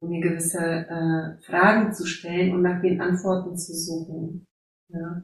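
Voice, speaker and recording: Very slowly and in a monotone, flat intonation, a woman with an Eastern European accent speaks at a fairly low pitch in a somewhat breathy voice. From Silesia, Poland (near Opole). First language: Silesian/Polish (speaking German). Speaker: life coach and educator. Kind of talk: interview. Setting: video call. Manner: halting.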